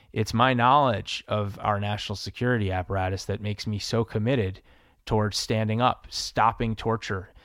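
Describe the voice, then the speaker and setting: A man speaks at a moderate pace in a fairly low pitch with fairly even intonation. It is a plain, everyday voice on a very clean recording with a silent background. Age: 40s. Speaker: congressional candidate. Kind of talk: town hall Q&A.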